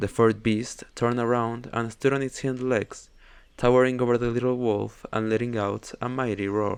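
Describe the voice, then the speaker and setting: The speaker is a man with a medium pitch. He talks at a moderate pace in a monotone, flat intonation. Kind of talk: bedtime story reading. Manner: soft-spoken.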